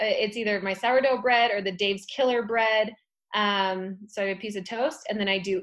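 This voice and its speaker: With an American accent, a woman uses an ordinary speaking voice at medium pitch, her intonation fairly even. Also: moderate pace. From Utah. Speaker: fitness instructor. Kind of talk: casual chat.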